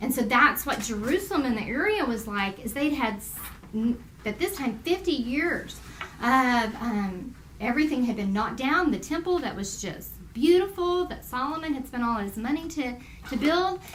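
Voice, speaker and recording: Amid audible room echo, a woman with a Texas accent speaks at a high pitch with very wide pitch swings. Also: moderate pace. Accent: Texas Southern US. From US South. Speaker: Bible teacher. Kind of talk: Bible study lesson. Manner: conversational.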